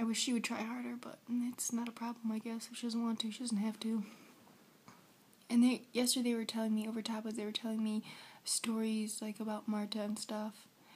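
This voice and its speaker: A woman with an American accent, fairly high pitch and a fairly quick pace. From United States. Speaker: vlogger. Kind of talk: casual vlog. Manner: animated.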